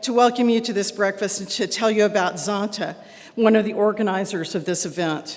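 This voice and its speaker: A woman with an American accent and a fairly high pitch talks at a fairly quick pace, with ordinary pitch variation. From Texas. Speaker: club president. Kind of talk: welcome speech.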